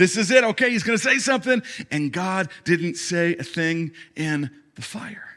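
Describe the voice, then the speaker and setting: A man speaks at a moderate pace in a raised, projected voice, his pitch high and his intonation lively. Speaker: pastor. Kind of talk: sermon. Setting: church stage with audience.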